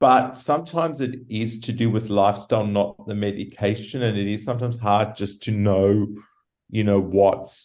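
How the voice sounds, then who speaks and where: Fairly low male voice, moderately paced. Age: 60s. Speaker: patient living with HIV. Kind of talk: interview. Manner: halting.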